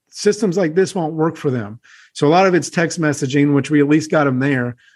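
Against a quiet background, a man in an ordinary speaking voice talks at a moderate pace with fairly high pitch and ordinary pitch variation. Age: 30s. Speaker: real estate investor. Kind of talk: interview.

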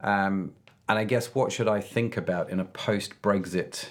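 On a very clean recording with a silent background, a man with a British accent talks at a fairly slow pace in a fairly low pitch. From UK. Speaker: podcast host. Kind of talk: interview. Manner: animated.

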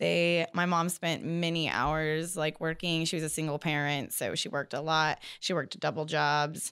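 In a Californian accent, a woman speaks at a moderate pace with hardly any pauses, using a very deep, low pitch and a monotone, flat intonation. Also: very even loudness. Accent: Californian American. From US West Coast (Bakersfield, California). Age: 30s. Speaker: floral designer. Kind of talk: interview.

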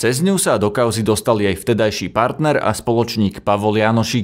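A man speaks in a normal speaking voice at a fairly low pitch and a moderate pace. His pitch variation is ordinary, and the recording is very clean with a silent background. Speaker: news podcast host. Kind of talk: news reading.

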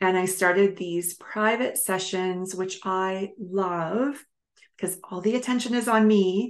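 At a fairly slow pace, a woman talks in a normal speaking voice. Her pitch is medium, with ordinary variation. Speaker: mind body coach and podcast host. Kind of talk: solo podcast monologue.

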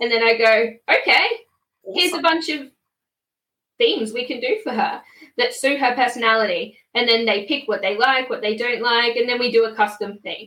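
Speaking with an Australian accent, a woman uses a high pitch with ordinary variation. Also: moderate pace. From Queensland, Australia. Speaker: small business owner. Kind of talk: casual interview. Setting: live stream video call.

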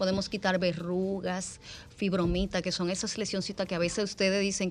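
A woman talks at a moderate pace in a medium pitch, her intonation monotone and flat. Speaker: dermatologist. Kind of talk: radio interview.

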